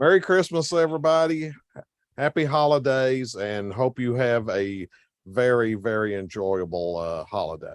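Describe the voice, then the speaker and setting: In a Tennessee accent, a man talks at a moderate pace with very wide pitch swings against a quiet background. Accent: deep Tennessee. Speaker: volunteer chat moderator. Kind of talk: casual chat. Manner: halting.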